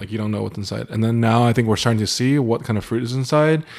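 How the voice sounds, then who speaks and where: Very fast speech from a man, with ordinary pitch variation. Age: 30s. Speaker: podcast guest, husband. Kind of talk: casual chat.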